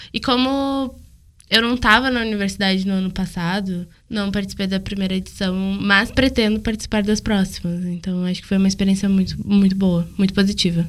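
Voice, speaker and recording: A woman with an ordinary speaking voice talks at a medium pitch and a fairly quick pace. Her intonation stays fairly even. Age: young. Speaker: university student. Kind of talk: casual chat.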